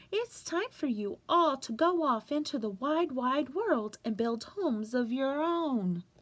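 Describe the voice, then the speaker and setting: A woman in a put-on character voice, high-pitched and fairly slow, with hardly any pauses. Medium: read story.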